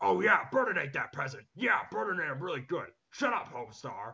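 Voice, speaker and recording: This is a put-on character voice at a fairly quick pace. Pitch swings are very wide. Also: man, fairly high pitch for a man. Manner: gruff, menacing.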